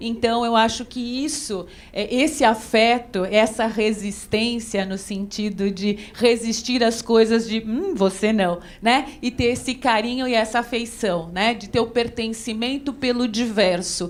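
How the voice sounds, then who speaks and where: Audible room echo and noticeable background noise fill the clip. The speaking pace is fairly slow. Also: woman, fairly high pitch for a woman. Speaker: dance researcher and professor. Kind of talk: conference lecture. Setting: auditorium with audience. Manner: animated.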